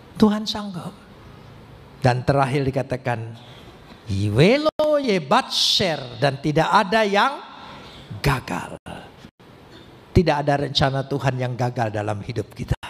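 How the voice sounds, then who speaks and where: A man with a fairly high pitch talks fairly slowly, with long, frequent pauses. His pitch swings very widely. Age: 70s. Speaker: pastor. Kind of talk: sermon.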